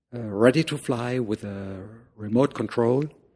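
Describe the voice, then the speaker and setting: A man at medium pitch, a fairly slow pace and ordinary pitch variation. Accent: German. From Germany. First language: German. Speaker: drone hobbyist and shop owner. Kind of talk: casual interview. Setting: in his shop. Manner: halting, many fillers.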